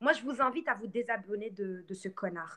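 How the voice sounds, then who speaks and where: The voice has lively intonation and an animated tone at a moderate pace. Its tone is bright and sharp. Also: woman. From Morocco. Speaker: live streamer. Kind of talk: live stream rant.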